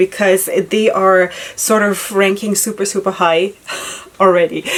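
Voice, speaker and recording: Amid noticeable background noise, a woman speaks with a non-native accent. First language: not English. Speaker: headscarf tutorial vlogger. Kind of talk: tutorial. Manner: animated; casual, hesitant with fillers.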